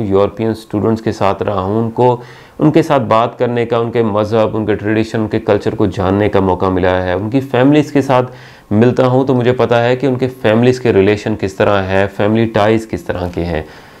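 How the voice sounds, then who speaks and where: A man with a plain, everyday voice speaks in a medium pitch with ordinary pitch variation. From Pakistan. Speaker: university teacher. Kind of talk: channel introduction talk to camera. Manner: friendly, conversational.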